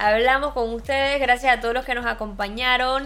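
Over music in the background, a woman speaks at a high pitch with monotone, flat intonation. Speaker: podcast host. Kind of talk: casual chat. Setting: live stream.

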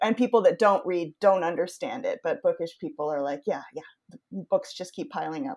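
Someone with an American accent talks at a fairly quick pace, with very wide pitch swings and big swings in loudness, in a dry, close sound with no echo. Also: woman, medium pitch for a woman. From Maine, US (Yarmouth). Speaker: podcast host. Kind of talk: casual chat.

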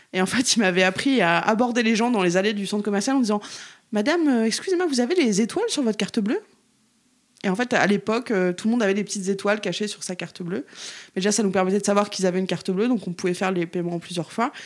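A woman at a medium pitch speaks at a very fast pace. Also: ordinary pitch variation. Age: 30s. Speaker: activist. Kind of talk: casual chat.

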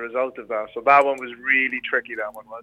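A man with a Welsh accent talks at a very fast pace. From Rhondda, Wales. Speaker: former reality TV contestant. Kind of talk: casual interview chat.

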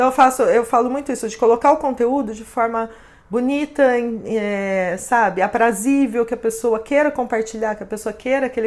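A woman speaks in an ordinary speaking voice at a fairly high pitch, with ordinary pitch variation and a moderate pace. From interior of São Paulo state, Brazil. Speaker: social media influencer and consultant. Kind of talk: interview.

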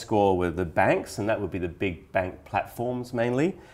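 A man with a normal speaking voice, fairly low pitch and ordinary pitch variation, in a very clean recording with a silent background. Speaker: podcast host and financial publisher editor. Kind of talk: casual business chat podcast.

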